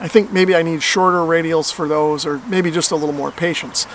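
A man talks at a fairly quick pace. The sound is dry with no echo, with light background noise. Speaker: amateur radio hobbyist. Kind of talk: tutorial. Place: open country.

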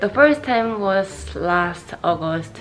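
There is clear music in the background. Over it, a woman speaks at a very slow pace. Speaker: vlogger. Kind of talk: casual vlog chat. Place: home room. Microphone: phone near.

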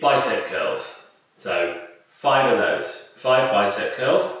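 A man speaking at a very slow pace in a quiet background, with strong room echo. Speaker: fitness instructor. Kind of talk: tutorial. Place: home room. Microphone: camera far.

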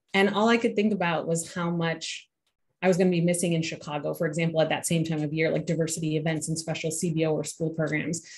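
This woman talks at a very fast pace in a fairly low pitch, with fairly even intonation and a somewhat breathy sound. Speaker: university admissions administrator. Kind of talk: panel discussion. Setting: video call. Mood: warm, reflective. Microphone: video call.

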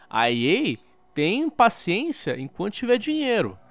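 Music plays in the background as a man speaks with a Brazilian accent. His pitch swings very widely. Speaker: gaming YouTuber. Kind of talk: angry rant. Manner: sarcastic, heated.

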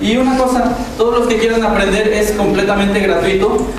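Amid strong room echo and light background noise, a man talks at a very fast pace in a high voice. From Mexico. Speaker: spinning-top performer. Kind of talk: live demonstration for schoolchildren. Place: hall.

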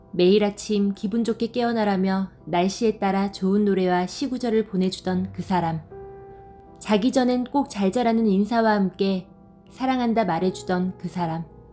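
The pace of the speech is moderate, and music can be heard in the background. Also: woman, medium pitch for a woman, ordinary pitch variation. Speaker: storyteller. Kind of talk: story narration.

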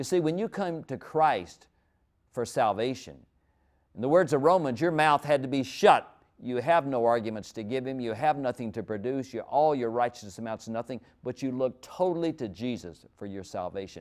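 Against a quiet background, a man with a medium-pitched voice talks at a moderate pace with lively intonation. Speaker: preacher. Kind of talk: sermon. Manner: conversational, story-driven, warm. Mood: warm, earnest. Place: studio. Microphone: lapel.

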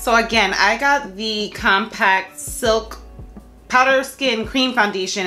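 Ordinary pitch variation marks the woman's speech. Behind her, music plays faintly. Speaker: beauty vlogger. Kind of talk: tutorial. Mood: excited, upbeat. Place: home room.

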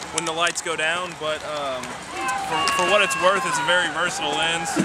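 Clear music plays in the background as a man speaks. His pace is moderate, and the sound is dry with no echo. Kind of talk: casual gear rundown. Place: stadium. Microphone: phone near.

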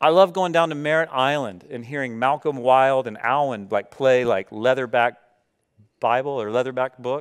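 Over a quiet background, a man speaks in an animated tone and a medium pitch with lively intonation at a moderate pace. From US South. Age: 30s. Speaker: pastor. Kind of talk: sermon. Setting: church. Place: church. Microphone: headset.

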